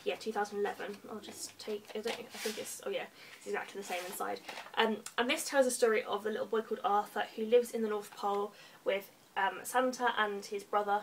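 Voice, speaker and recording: In an English accent, a woman speaks at a fairly quick pace and fairly high pitch, her loudness swinging widely over light background noise. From England. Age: 20s. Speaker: book vlogger. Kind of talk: casual monologue. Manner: animated. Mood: cheerful, enthusiastic. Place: home room. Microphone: webcam.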